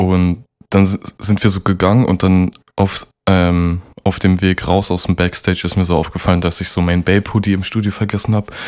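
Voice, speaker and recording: A man's very deep, low voice, monotone and flat, at a moderate pace. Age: young. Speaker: podcast co-host, rapper. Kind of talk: casual chat.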